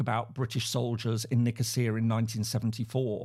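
Speaking at a fairly quick pace, a man with an English accent has a dark, mellow tone. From England. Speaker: professor, conflict researcher. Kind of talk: interview. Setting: video call. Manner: halting, many repeated words.

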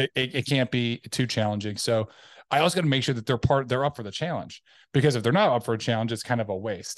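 A man talks very fast at a medium pitch with ordinary pitch variation. The sound is dry and close with no echo, over a quiet background. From Tennessee. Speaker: insurance agency owner and Army veteran. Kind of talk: casual interview. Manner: halting, many fillers and restarts.

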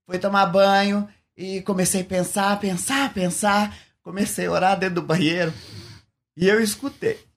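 Fairly slow and marked by long, frequent pauses, a man's speech sits at a high pitch. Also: fairly even intonation. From Paraná, Brazil. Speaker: former travesti, convert giving testimony. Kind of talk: testimony.

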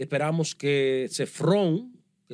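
A man with an unremarkable speaking voice, pitched fairly high and showing ordinary pitch variation. The recording is very clean, with a silent background. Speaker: podcast co-host. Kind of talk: news commentary chat.

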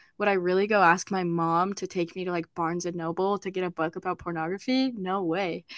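A woman with a plain, everyday voice, at a medium pitch and moderate pace, with fairly even intonation, in a very clean, dry, close recording with no echo and a silent background. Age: young. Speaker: podcast host and university student. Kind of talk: casual chat.

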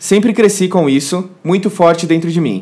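This man's high voice moves at a moderate pace and shows ordinary pitch variation. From southern Brazil. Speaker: YouTuber. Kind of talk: casual chat. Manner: animated.

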